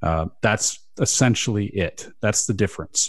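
With a quiet background, a man speaks in an ordinary speaking voice at a fairly low pitch, showing ordinary pitch variation. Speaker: radio host. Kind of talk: casual chat about SEO news, radio show. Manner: radio-style delivery.

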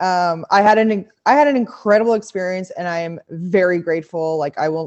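A woman with an ordinary speaking voice and a fairly low pitch speaks at a fairly quick pace, her pitch varying in an ordinary way. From Montreal, Quebec, Canada. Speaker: pro cyclist. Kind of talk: casual interview.

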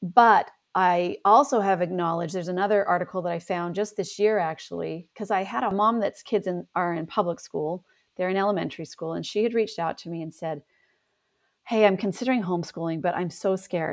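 On a very clean recording with a silent background, a woman speaks at a fairly quick pace, with medium pitch and ordinary pitch variation. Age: 50s. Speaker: homeschool mother, co-op chair. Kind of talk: interview conversation.

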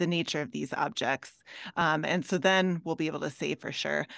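A woman with an American accent, fairly low pitch, ordinary pitch variation and vocal fry, in a dry, close sound with no echo over a quiet background. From Minnesota. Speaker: astrophysics professor. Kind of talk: interview.

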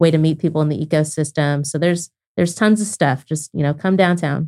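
Very deep and low in pitch, a woman's dark, mellow voice carries an American accent. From Oklahoma (Lawton). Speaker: startup founder. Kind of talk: interview. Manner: casual.

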